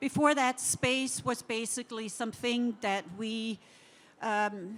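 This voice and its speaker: In a Danish accent, a woman speaks very slowly at a fairly high pitch with ordinary pitch variation. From Denmark. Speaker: interior design director. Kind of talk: conference talk.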